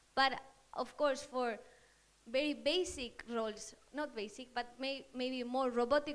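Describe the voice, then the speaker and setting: A woman with a Spanish accent, high-pitched, at a moderate pace. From Spain. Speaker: marketing manager, audience member. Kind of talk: audience question at panel talk. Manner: halting.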